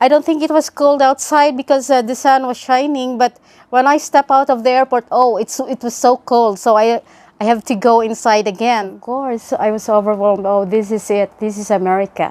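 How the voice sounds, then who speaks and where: Heard in a dry, close sound with no echo, a woman speaks at a moderate pace in a high voice with ordinary pitch variation. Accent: Filipino. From Philippines. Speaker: nurse. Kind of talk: testimony. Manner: halting, many fillers.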